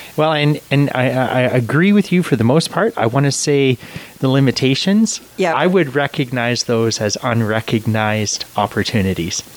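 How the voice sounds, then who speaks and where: A man speaks at medium pitch and a moderate pace with lively intonation and very even loudness, over noticeable background noise. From Canada. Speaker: Salvation Army officer. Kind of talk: interview. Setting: studio.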